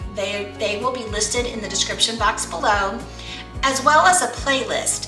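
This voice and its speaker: A woman talks with clear music playing in the background. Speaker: lifestyle channel host. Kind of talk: casual vlog chat. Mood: friendly, upbeat. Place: kitchen.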